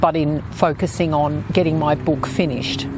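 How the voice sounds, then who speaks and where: With noticeable background noise around her, a woman speaks at a fairly slow pace in a very deep, low pitch. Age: 60s. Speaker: author and podcast host. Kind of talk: podcast monologue with book readings. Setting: outdoors.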